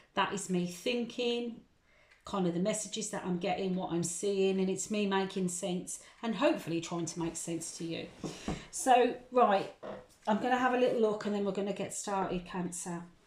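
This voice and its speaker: Over noticeable background noise and audible room echo, a woman speaks at a moderate pace with ordinary pitch variation. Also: medium pitch for a woman. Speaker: tarot reader. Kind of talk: tarot reading monologue. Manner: hesitant, many ums.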